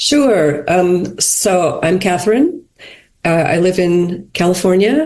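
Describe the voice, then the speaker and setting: A woman with an American accent speaks at a very slow pace and medium pitch with lively intonation. Her loudness stays very even. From USA. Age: 60s. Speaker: podcast guest. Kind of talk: casual chat.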